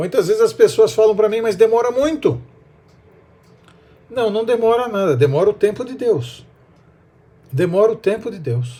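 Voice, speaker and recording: Marked by long, frequent pauses, a man's high-pitched voice has a dark, mellow tone and lively intonation. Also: moderate pace, big swings in loudness. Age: 60s. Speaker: preacher. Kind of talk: sermon.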